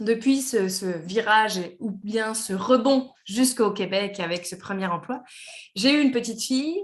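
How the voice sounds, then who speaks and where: A woman talks at a fairly slow pace with a slight Quebec accent. Her voice is fairly high, with ordinary pitch variation. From France. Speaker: engineer and company director. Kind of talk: podcast interview. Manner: hesitant, many fillers.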